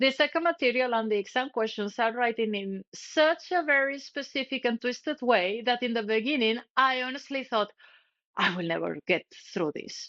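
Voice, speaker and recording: A woman talks at a moderate pace with a non-native accent. Her high voice carries lively intonation. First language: not English. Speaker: cybersecurity educator. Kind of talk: tutorial. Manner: scripted, direct to camera.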